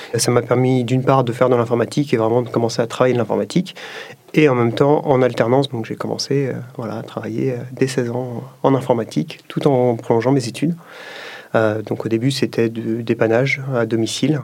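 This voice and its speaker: Noticeable noise sits in the background while the words come at a fairly quick pace. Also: man, medium pitch for a man, fairly even intonation. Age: 30s. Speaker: tech company executive. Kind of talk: interview testimony.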